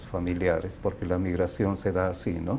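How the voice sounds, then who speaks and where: Against light background noise, a man talks with a very deep, low pitch and a dark, mellow tone. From Bolivia, La Paz. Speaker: immigrant. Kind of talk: interview. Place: home room. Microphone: lapel.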